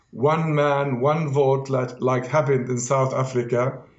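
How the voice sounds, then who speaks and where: A man with a fairly high pitch speaks at a moderate pace, with audible room echo. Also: very even loudness. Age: 60s. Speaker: political analyst. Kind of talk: heated debate. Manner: animated.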